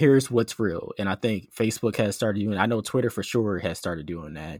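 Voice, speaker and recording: On a very clean recording with a silent background and a dry, close sound with no echo, a man with an American accent speaks at a moderate pace in an ordinary speaking voice, fairly low in pitch with ordinary pitch variation. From US, Philadelphia. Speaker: PhD student and science podcaster. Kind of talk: interview conversation. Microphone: professional mic.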